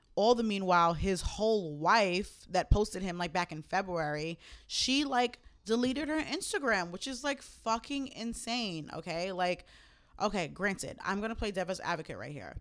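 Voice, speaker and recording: A woman's normal speaking voice with an American accent, medium in pitch at a moderate pace, with big swings in loudness on a very clean recording with a silent background. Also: lively intonation. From Jamaica, Queens, New York. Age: 20s. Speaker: podcast co-host. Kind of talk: casual chat. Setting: home recording.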